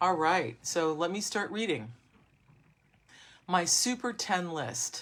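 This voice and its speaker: A woman's voice with lively intonation. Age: 60s. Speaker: book channel host reading from grandfather's book. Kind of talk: casual talk and reading aloud to viewers.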